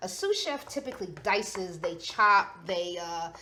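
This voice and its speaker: In a New York accent, a woman sounds animated, with a bright, sharp tone, very wide pitch swings and audible room echo. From New York City (the Bronx). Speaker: chef and cooking show host. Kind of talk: cooking demonstration.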